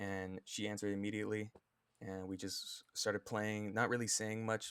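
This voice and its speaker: In a monotone, flat intonation, a man speaks at a moderate pace and a fairly low pitch. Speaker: social media creator. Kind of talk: personal vlog. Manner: stutters; halting. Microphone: better mic.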